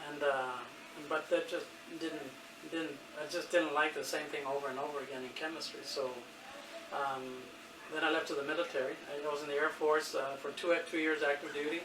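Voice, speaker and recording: With an American accent, a man talks fairly quickly at a fairly high pitch in a flat monotone, with long, frequent pauses, audible room echo and noticeable background noise. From Texas, Rio Grande Valley (McAllen). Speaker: military veteran. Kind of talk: interview. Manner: halting, many fillers.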